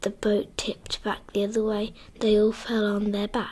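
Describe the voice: The voice reads aloud. It is plain reading aloud.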